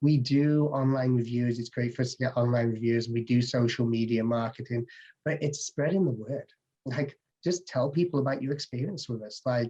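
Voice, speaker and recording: A man with an English accent speaks at a moderate pace with ordinary pitch variation. His tone is dark and mellow, and somewhat breathy. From England, English/Welsh border. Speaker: home inspector. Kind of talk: interview answer.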